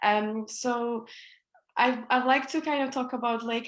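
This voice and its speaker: In a high voice, a woman speaks at a fairly slow pace. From Iraqi Kurdistan, raised in Glasgow from childhood. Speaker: activist and local councillor. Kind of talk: online interview. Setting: Facebook live video stream. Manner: hesitant, many fillers.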